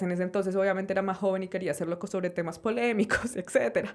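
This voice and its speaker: Speaking at a very fast pace, a woman talks in a medium pitch with a Colombian accent. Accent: Colombian accent, kept and proud of it. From Colombia, Sopó near Bogotá. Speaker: journalist and podcast host. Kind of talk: interview conversation. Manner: casual, many fillers.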